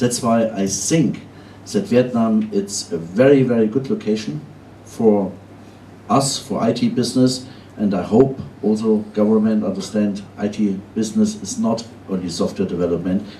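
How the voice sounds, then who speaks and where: A man with a German accent and a fairly low pitch, at a moderate pace with ordinary pitch variation, in audible room echo. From Germany. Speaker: outsourcing company founder. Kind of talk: conference panel talk.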